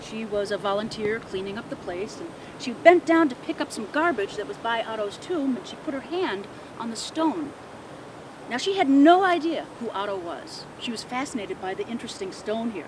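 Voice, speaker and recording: A woman's fairly high voice with an American accent at a moderate pace, very wide pitch swings and big jumps in loudness, over noticeable background noise. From Midwest US. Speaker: ghost tour guide. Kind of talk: ghost story telling.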